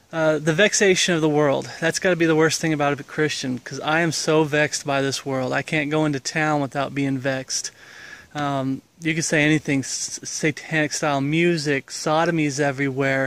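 A man speaks in a monotone with flat intonation, and the sound is dry with no echo. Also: moderate pace. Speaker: religious vlogger. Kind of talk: casual vlog chat. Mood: earnest, reflective. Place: garden. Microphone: phone near.

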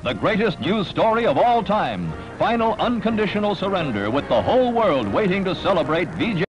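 Over clear music in the background, a man with a high voice talks at a fairly quick pace in a dramatic, energetic tone, with very even loudness and hardly any pauses. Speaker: newsreel narrator. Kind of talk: newsreel narration. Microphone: old recording.

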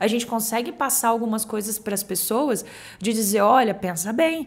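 Her voice is high-pitched, and the woman talks at a fairly quick pace with ordinary pitch variation. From Brazil, Cuiabá, Mato Grosso; Mato Grosso, Brazil. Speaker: real estate agency director; podcast guest. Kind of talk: casual chat. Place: studio. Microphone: studio mic.

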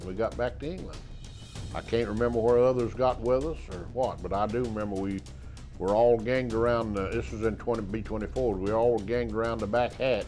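A man with a Southern US accent talks at a fairly quick pace in a medium pitch, his intonation fairly even, while faint music plays in the background. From South Carolina. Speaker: war veteran. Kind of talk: interview answer. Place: studio. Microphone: lapel.

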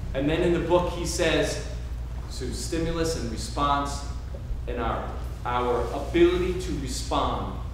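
Strong room echo surrounds a man's voice. Light background noise can be heard too. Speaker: workshop facilitator. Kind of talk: workshop instruction. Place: hall. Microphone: camera far.

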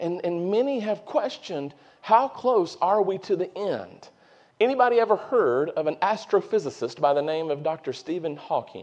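In a Southern US accent, a man speaks at a moderate pace in a high voice. His pitch swings very widely, and the background is quiet. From North Carolina. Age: 40s. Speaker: preacher. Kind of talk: sermon. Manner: animated. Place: church.

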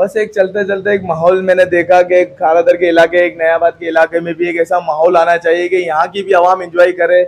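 A man talks in a high pitch with monotone, flat intonation. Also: moderate pace, hardly any pauses. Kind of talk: interview answer. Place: cafe. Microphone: phone near.

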